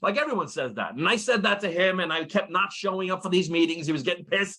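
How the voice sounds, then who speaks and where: A man's high-pitched, raised, projected voice, bright and sharp in tone, with ordinary pitch variation. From New York City. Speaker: network marketing presenter, retired firefighter. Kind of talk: business opportunity presentation. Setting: at home, online call. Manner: fast.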